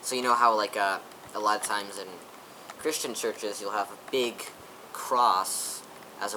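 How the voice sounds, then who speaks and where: Intonation stays fairly even throughout. Background noise is noticeable. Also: man. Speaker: gaming youtuber. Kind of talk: casual gameplay commentary.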